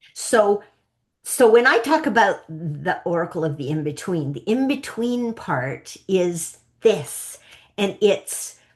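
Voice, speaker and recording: Very slowly, a woman with a Canadian accent speaks at medium pitch with very wide pitch swings. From Canada. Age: 60s. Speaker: psychic coach. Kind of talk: interview. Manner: animated.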